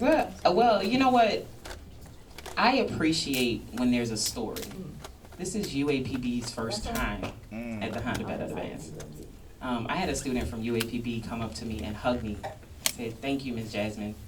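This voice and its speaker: With a New Orleans accent, a woman with a very deep, low pitch speaks at a moderate pace with lively intonation and long, frequent pauses. Audible room echo and noticeable background noise are present. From New Orleans, Louisiana. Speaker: event host. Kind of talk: press conference.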